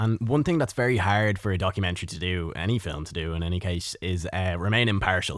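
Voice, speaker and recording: Very fast and with hardly any pauses, a man with an Irish accent talks in a very deep, low voice with ordinary pitch variation on a very clean recording with a silent background. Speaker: radio host. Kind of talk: radio interview. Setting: studio.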